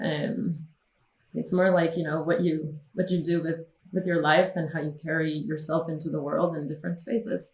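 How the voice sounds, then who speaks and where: A woman with a Spanish accent talks at a fairly low pitch. Her pace is moderate and her pitch variation ordinary. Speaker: film producer. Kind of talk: interview.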